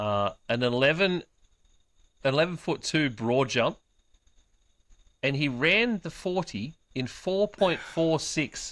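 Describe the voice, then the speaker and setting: Pausing long and often, a man with an Australian accent speaks at a very slow pace in a fairly high pitch with lively intonation. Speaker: sports podcast host. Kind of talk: casual chat.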